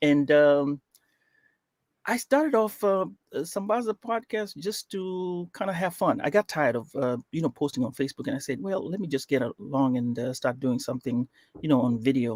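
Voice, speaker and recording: At a moderate pace, a man with a fairly high voice makes very wide pitch swings, recorded very cleanly against a silent background with a dry, close sound and no echo. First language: Swahili. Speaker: podcast host. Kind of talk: interview. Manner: hesitant, many fillers.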